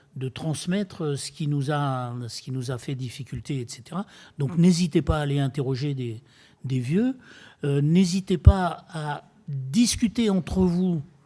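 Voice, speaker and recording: A man's somewhat breathy, dark and mellow voice at a fairly high pitch, with ordinary pitch variation and big swings in loudness, on a very clean recording with a silent background. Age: 70s. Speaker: retired builder and eco-entrepreneur speaking at a public dialogue. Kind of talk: public talk to an audience. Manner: hesitant, many fillers and repetitions.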